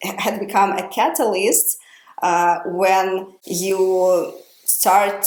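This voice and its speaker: Audible room echo on a woman's medium-pitched voice. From Ukraine. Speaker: podcast host. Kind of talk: casual podcast conversation. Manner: hesitant, many fillers.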